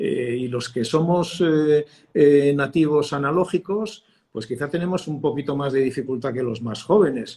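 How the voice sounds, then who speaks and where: The voice has a dark, mellow tone and is somewhat breathy. It moves at a fairly slow pace. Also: man, fairly high pitch for a man, ordinary pitch variation. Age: 60s. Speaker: communication expert, former broadcast journalist. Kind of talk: interview. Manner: hesitant, many fillers and repetitions.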